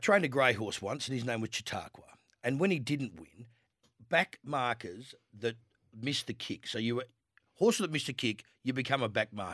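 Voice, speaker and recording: With an Australian accent, the speaker talks at a moderate pace with lively intonation in a very clean recording with a silent background and a dry, close sound with no echo. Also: man. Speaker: horse trainer. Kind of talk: radio sports panel chat.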